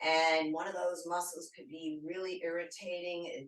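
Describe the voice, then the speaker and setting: A woman speaks with a fairly low pitch. There is audible room echo and noticeable background noise. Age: 60s. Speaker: fitness instructor. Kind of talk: tutorial. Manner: casual and chatty.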